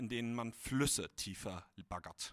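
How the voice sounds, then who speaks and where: Recorded very cleanly over a silent background, a man talks with lively intonation and a bright, sharp tone. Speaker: writing competition participant. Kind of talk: reading aloud. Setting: stage with audience.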